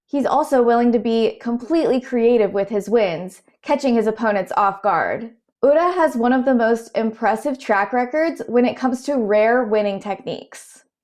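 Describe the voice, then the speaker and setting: A woman with a high pitch and an American accent speaks at a moderate pace with hardly any pauses. Her loudness stays very even, her pitch varies in an ordinary way, and the background is quiet. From Southern US. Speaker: sumo commentator. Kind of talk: explainer narration.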